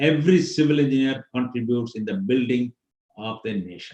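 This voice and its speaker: Somewhat breathy, this man speaks at a moderate pace. His pitch swings very widely. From India, Pondicherry. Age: 70s. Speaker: civil engineer, guest speaker. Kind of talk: guest lecture to students.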